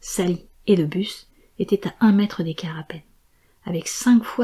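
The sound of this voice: Ordinary pitch variation from an unforced reading voice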